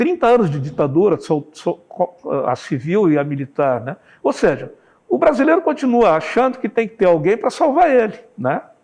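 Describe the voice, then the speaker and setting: A high-pitched man's voice at a moderate pace, with very wide pitch swings. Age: 60s. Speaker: journalist, newspaper owner. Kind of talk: interview.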